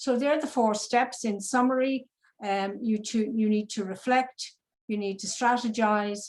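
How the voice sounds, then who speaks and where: A woman's fairly high, somewhat breathy voice in an Irish accent, at a fairly slow pace with ordinary pitch variation. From Ireland. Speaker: business psychologist. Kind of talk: presentation. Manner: hesitant, many fillers and repetitions.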